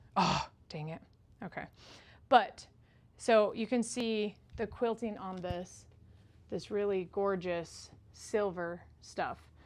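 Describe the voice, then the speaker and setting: Speaking at a very slow pace with long, frequent pauses, a woman uses a medium pitch and ordinary pitch variation in a very clean recording with a silent background. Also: big swings in loudness. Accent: Utah. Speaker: quilter. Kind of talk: live stream tutorial. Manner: casual, chatty.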